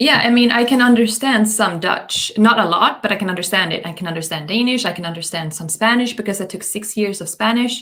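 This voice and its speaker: Delivered at a fairly quick pace with hardly any pauses and ordinary pitch variation, the speech carries a strong southern Swedish accent over noticeable background noise. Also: woman, fairly high pitch for a woman. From southern Sweden. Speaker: magician and event host. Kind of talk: casual chat.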